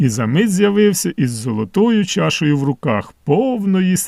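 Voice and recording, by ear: The clip features reading aloud in a natural voice. Nothing else is noted.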